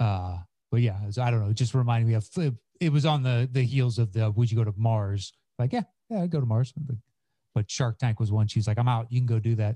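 Dark and mellow, a man's somewhat breathy voice at medium pitch moves at a fairly quick pace with ordinary pitch variation and very even loudness, in a dry, close sound with no echo. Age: 40s. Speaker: comedian and podcaster. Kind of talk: casual chat. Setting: video call.

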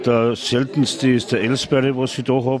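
A man with a strong Tyrolean accent talks at a medium pitch and a moderate pace. His intonation is fairly even, and there is noticeable background noise. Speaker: brewpub landlord. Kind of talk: interview. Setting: restaurant.

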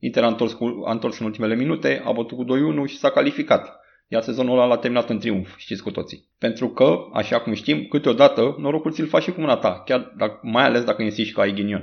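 A man rattles off his words at a very fast pace, keeping a medium pitch with ordinary pitch variation. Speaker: football podcaster. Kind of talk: angry rant, scathing monologue against a coach. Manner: fiery, sarcastic, indignant; punchy, insulting, fast-paced.

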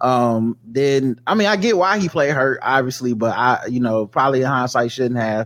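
A man's ordinary speaking voice at medium pitch, with lively intonation, a moderate pace and hardly any pauses, very even loudness, and a very clean recording over a silent background. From US South. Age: 40s. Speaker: podcaster. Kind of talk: casual chat.

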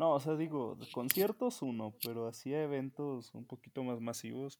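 This man has a medium pitch and ordinary pitch variation. He speaks with a Mexican accent. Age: 20s. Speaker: podcast co-host. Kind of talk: casual chat.

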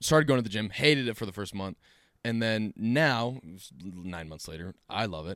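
A plain, everyday voice from a man, fairly low in pitch, at a moderate pace with lively intonation and big swings in loudness. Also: dry, close sound with no echo, very clean recording, silent background. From Utah. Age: 20s. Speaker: podcast guest. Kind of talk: casual chat.

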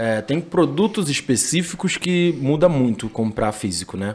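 Speaking at a fairly slow pace, a man holds a medium pitch but makes very wide pitch swings. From Rio de Janeiro, Brazil. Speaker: entrepreneur, sneaker store owner. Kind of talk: podcast interview.

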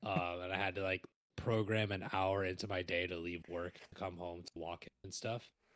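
A man's very deep, low voice at a moderate pace, monotone and flat, dry and close with no echo. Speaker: podcast co-host, musician and music teacher. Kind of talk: casual chat; reading notes aloud. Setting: online call over Discord.

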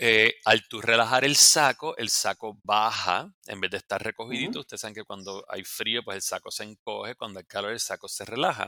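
Hardly pausing, a man with a Puerto Rican accent talks at a fairly quick pace in a bright, sharp, medium-pitched voice with ordinary pitch variation and big swings in loudness. The recording is very clean with a silent background and a dry, close sound with no echo. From Puerto Rico. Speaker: dermatologist. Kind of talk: casual interview.

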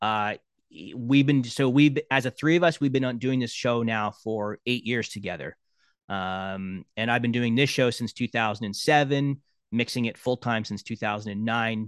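A man's plain, everyday voice at medium pitch with ordinary pitch variation and a moderate pace, dry and close with no echo, over a quiet background. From Canada, Brampton near Toronto. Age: 50s. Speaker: sports broadcast sound engineer. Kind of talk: casual interview.

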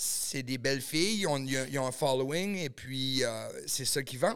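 In a normal speaking voice, a man talks at medium pitch and a fairly slow pace with ordinary pitch variation. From New Brunswick, Canada (small village). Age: 30s. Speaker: adult film producer and actor. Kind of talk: casual podcast chat.

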